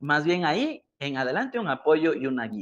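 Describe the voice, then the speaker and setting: A man with a plain, everyday voice speaks at a moderate pace, his fairly high pitch rising and falling in a lively way against a quiet background. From Ecuador. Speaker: digital marketing educator. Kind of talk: live stream talk. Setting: online live stream.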